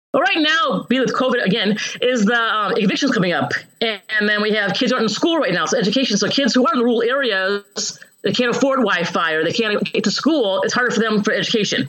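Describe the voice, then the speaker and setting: Music plays in the background as a woman with an American accent talks at a very fast pace with lively intonation. Her pitch is fairly high and her loudness very even. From US Midwest, Chicago suburbs. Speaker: county board candidate and employment counselor. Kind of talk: interview. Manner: halting.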